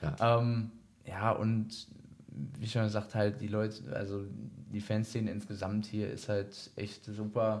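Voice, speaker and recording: A man's very slow, monotone, flat delivery, fairly low in pitch, broken by long, frequent pauses. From Germany, Iserlohn (Sauerland, North Rhine-Westphalia). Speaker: ice hockey goalkeeper. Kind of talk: casual interview.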